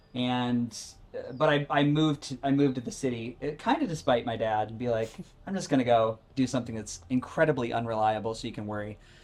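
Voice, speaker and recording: Amid noticeable background noise, a man with an American accent talks at a very fast pace with big swings in loudness. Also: medium pitch for a man, ordinary pitch variation. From Rochester, New York area, US. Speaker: former Broadway performer, cancer survivor, health coach. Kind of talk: live talk interview before an audience. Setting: outdoor live event with audience. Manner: animated; loud, projected.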